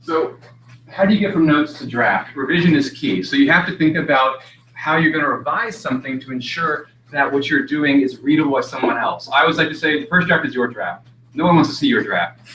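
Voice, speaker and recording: A man talks fairly quickly with lively intonation, noticeable background noise behind him. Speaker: writing workshop instructor. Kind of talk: workshop lecture. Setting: classroom, streamed online. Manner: fast; slurred, words run together.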